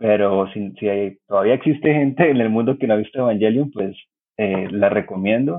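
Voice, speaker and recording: With an ordinary speaking voice, a man talks at a fairly low pitch and a moderate pace. His pitch varies in an ordinary way. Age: 30s. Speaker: cartoonist and journalist. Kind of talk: casual chat.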